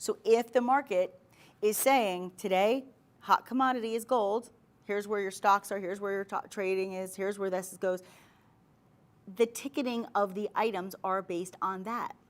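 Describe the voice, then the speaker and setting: At a moderate pace, a woman with a medium-pitched voice and a New York accent speaks in an animated tone. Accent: New York accent, drops T's. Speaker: shopping channel host. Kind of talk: sales pitch.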